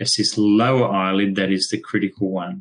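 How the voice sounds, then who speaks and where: This man has an Australian accent and a fairly low pitch. He talks at a moderate pace with ordinary pitch variation. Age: 60s. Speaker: veterinarian. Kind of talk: webinar presentation. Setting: online webinar. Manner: hesitant, many fillers.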